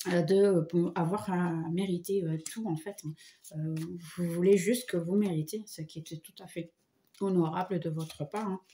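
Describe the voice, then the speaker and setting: Speaking at a fairly slow pace, a woman with a fairly low pitch sounds somewhat breathy, keeps her intonation fairly even, leaves long, frequent pauses, and swings widely in loudness. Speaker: tarot reader. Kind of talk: tarot reading. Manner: hesitant, many fillers.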